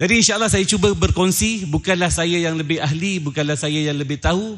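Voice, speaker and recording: A man with a Malaysian accent talks at a very fast pace. His high-pitched voice has ordinary pitch variation. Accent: Malaysian Malay. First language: Malay (speaking Indonesian). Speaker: Islamic preacher and businessman. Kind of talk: religious lecture. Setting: lecture hall with live audience. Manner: halting.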